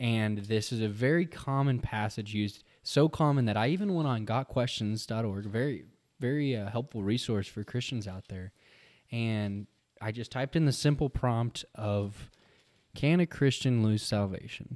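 The recording is very clean, with a silent background. A man speaks at a medium pitch in an ordinary speaking voice. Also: ordinary pitch variation, moderate pace. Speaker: podcast co-host. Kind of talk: casual chat.

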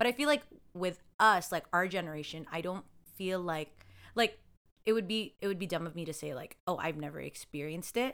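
With lively intonation, a woman speaks at a fairly quick pace in a fairly low pitch. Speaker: podcast co-host. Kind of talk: casual chat. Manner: animated.

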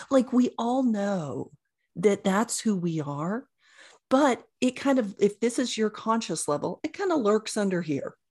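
A woman's somewhat breathy voice with an American accent, fairly slow and with very wide pitch swings, over a quiet background. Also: fairly high pitch for a woman. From rural Oklahoma. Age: 50s. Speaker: chiropractor and intuitive coach. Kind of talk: interview.

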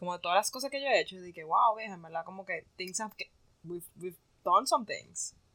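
A woman's voice with ordinary pitch variation. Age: 20s. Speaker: podcast co-host. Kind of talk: casual chat.

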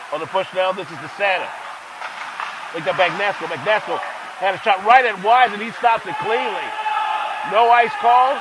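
Over noticeable background noise, a high-pitched man speaks with ordinary pitch variation, big swings in loudness, and long, frequent pauses. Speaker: hockey play-by-play announcer. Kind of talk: live sports commentary, play-by-play. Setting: rink broadcast booth. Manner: fast, rhythmic play-by-play delivery.

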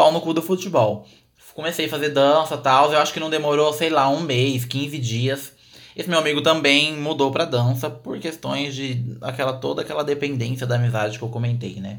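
A man whose pitch is fairly high talks at a moderate pace, his pitch varying in an ordinary way. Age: 20s. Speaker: podcast host. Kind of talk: personal storytelling.

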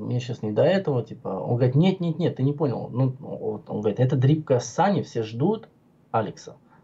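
With lively intonation, a man's voice competes with noticeable background noise. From Georgia (Tbilisi), Armenian. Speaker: vaping video blogger. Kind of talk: casual chat. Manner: animated.

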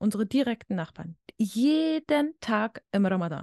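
The dark, mellow voice moves with lively intonation. The sound is dry and close with no echo, over a quiet background. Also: woman. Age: 20s. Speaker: student and social media video creator. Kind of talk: casual interview.

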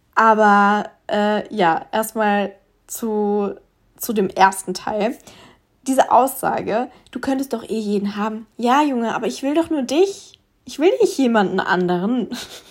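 In a very clean recording with a silent background, a woman with an unremarkable speaking voice talks at a fairly slow pace, her fairly high pitch showing ordinary variation. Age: 20s. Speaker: podcast host. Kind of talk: casual solo podcast monologue.

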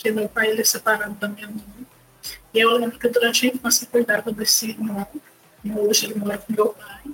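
A woman with a fairly high-pitched voice talks as noticeable background noise carries on. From Brazil, Volta Redonda (Rio de Janeiro state). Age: 20s. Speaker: theologian and project founder. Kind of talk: interview. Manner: halting.

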